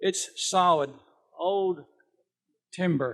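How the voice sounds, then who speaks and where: This man's voice is high in pitch. His intonation is lively. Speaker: neighbor giving eulogy. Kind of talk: memorial speech.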